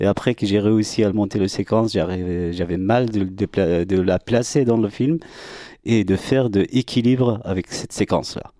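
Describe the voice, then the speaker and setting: A man with a fairly low pitch and a dark, mellow tone talks at a moderate pace. His pitch varies in an ordinary way, and the sound is dry and close with no echo. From Iran (Afghan family). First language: Dari/Persian (speaking French). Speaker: documentary filmmaker. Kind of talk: radio interview.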